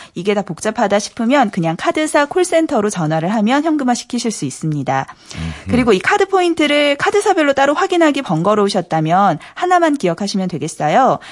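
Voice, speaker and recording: Over noticeable background noise, a woman talks at a fairly quick pace in a fairly high pitch with very wide pitch swings. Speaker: news reporter. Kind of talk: news segment reading. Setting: radio studio.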